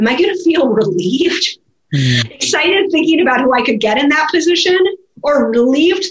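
A woman with an American accent talks at a high pitch and a fairly quick pace, her intonation lively. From US Midwest, Minnesota. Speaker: business professor and author. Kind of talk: interview.

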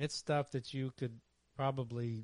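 A man speaks in a plain, everyday voice at a medium pitch. His intonation stays fairly even and his pace is moderate. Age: 50s. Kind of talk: casual chat.

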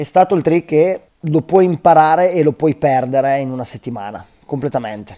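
A man's fairly high-pitched voice with a dark, mellow tone, ordinary pitch variation and a moderate pace, dry and close with no echo. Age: 30s. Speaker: professional BMX freestyle rider. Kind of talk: interview. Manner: halting, with frequent repetitions.

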